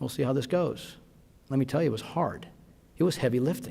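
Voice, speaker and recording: Here a man speaks with a fairly high pitch. Vocal fry runs through his voice. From Las Vegas, Nevada. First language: Spanish. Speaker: physician and award recipient. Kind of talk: award acceptance speech.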